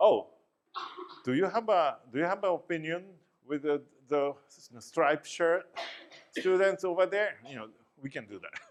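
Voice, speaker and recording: Using lively intonation, a high-pitched man with a Japanese accent talks at a moderate pace, with big swings in loudness and long, frequent pauses. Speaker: professor. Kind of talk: lecture. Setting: classroom.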